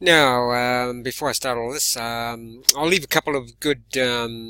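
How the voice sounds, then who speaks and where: Speaking at a fairly slow pace, a man uses a medium pitch and a bright, sharp tone. His intonation stays fairly even. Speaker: self-defense instructor and channel host. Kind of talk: casual vlog talk to camera. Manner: halting, many fillers.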